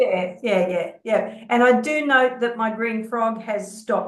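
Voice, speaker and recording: A woman with an Australian accent speaks with fairly even intonation. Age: 60s. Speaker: social work researcher, peer support group host. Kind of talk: casual chat. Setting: video call.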